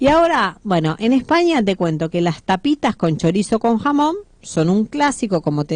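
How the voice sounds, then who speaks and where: A woman at a moderate pace with lively intonation, dry and close with no echo, over a quiet background. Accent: Rioplatense. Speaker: radio host. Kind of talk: sponsored food segment on radio.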